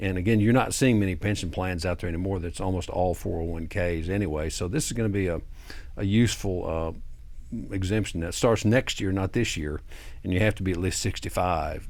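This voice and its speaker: A man speaks at a fairly quick pace in a very deep, low voice with ordinary pitch variation. Audible room echo surrounds the recording. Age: 60s. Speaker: tax attorney. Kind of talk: TV interview. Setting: studio.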